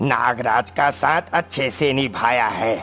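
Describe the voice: Over clear background music, a man uses a cartoonish character voice at medium pitch and a fairly slow pace.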